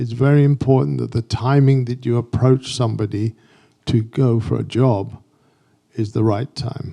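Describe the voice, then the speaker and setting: With an English accent, a man of medium pitch speaks at a moderate pace in a dark, mellow tone with fairly even intonation. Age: 70s. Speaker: graphic designer and photographer. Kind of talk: artist talk.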